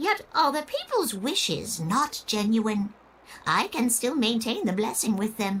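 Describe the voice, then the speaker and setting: Someone does a put-on character voice at a fairly slow pace. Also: female-sounding voice, fairly high pitch for a woman. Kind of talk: old-fashioned formal speech. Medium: video game. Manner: genteel, gracious, slightly theatrical.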